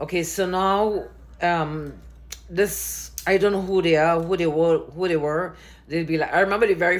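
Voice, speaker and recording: A woman's animated, very deep, low-pitched voice with vocal fry. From Trinidad and Tobago. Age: 70s. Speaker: dancer. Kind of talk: personal testimony to camera. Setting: recording self on camera. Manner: animated, conversational with hesitations.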